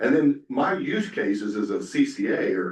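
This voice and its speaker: Amid audible room echo, a man with a slight Southern US accent speaks at a fairly slow pace. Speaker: software company representative, panelist. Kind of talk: conference presentation. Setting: conference breakout session with audience. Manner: casual, filler-heavy.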